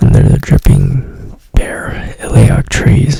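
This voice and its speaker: Whispering at a very slow pace, a woman talks over noticeable background noise. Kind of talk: ASMR book reading for sleep. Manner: soft-spoken, whispering.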